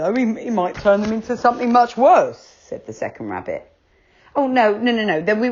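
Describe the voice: Someone is reading aloud. The delivery is plain.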